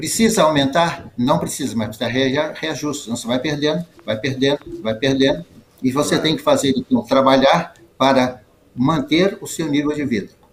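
Noticeable background noise sits behind a man speaking at a moderate pace. His pitch is fairly high, with ordinary variation. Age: 80s+. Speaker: retired judge. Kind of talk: interview. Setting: video call. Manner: halting.

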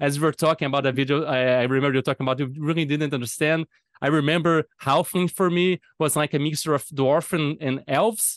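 Against a quiet background, a man with a fairly high pitch speaks at a very fast pace, with a dry, close sound and no echo. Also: fairly even intonation. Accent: Portuguese. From Brazil. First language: Portuguese. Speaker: podcast host, game designer. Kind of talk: casual interview chat. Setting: remote call.

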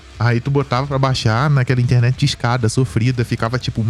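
Over noticeable background noise, a man talks at a very fast pace and a medium pitch with fairly even intonation. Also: hardly any pauses. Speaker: podcast co-host. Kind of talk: casual chat. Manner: talkative.

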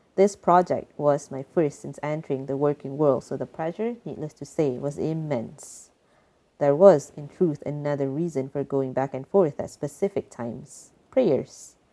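A woman with a very deep, low pitch and a dark, mellow tone talks at a moderate pace, her ordinary pitch variation paired with big swings in loudness. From Malaysia. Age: 20s. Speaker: environmental advisor, storyteller. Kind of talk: personal storytelling.

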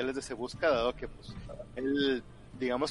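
A reading voice that sounds unforced

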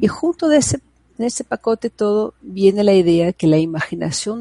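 The sound is dry and close with no echo as a woman speaks at medium pitch. Her intonation is lively and her pace moderate. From Brazil. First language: Portuguese (speaking Spanish). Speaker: psychologist and prenatal education advocate. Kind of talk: interview conversation. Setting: video call.

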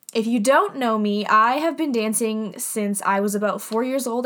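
Speech at a moderate pace with hardly any pauses and ordinary pitch variation comes through over noticeable background noise. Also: woman. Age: 20s. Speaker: podcast host and dancer. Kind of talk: casual monologue. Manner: scattered, with frequent laughs and fillers.

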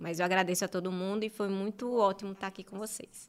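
A woman speaks at a medium pitch in a monotone, with flat intonation. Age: 30s. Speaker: journalist and marketing specialist. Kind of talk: interview, personal testimony.

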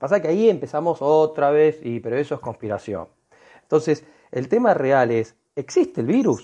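Against a quiet background, a man with a fairly high pitch and a dark, mellow tone speaks at a moderate pace with lively intonation. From Argentina. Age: 40s. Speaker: alternative health advocate. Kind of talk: online group discussion.

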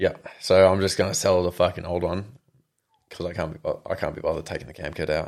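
In an Australian accent, a man speaks at a very fast pace with big swings in loudness. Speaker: mechanic. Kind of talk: casual chat.

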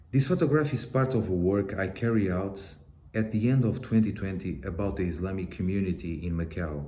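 Speaking with a Portuguese accent, a man with a very deep, low pitch and a dark, mellow, somewhat breathy tone uses lively intonation. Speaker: photojournalist. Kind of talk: interview recording about his work. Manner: halting.

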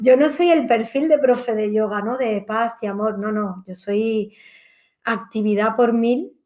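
A woman with an ordinary speaking voice talks at a fairly slow pace in a fairly high pitch with ordinary pitch variation. The recording is very clean, with a silent background. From Granada, Andalusia, Spain. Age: 30s. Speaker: yoga teacher and hotel entertainment manager. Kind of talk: casual chat.

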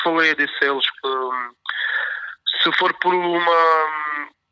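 Pitched fairly high, a man speaks with ordinary variation in his pitch. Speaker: professional bass player. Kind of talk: casual interview.

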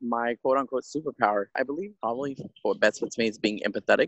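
A man speaks at a very fast pace with an American accent. His pitch sits in the medium range. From Texas. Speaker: navy sailor. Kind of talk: group discussion.

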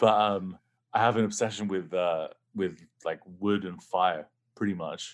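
Fairly low in pitch, a man talks at a fairly slow pace with an English accent. The recording is very clean, with a silent background. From England. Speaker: rock guitarist and producer. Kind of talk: casual interview. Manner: halting, many restarts.

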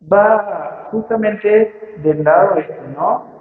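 Against noticeable background noise, a man speaks in a high voice with lively intonation. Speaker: physics teacher and writer. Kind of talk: public talk at a book fair. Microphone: poor audio quality, interference from PA microphone.

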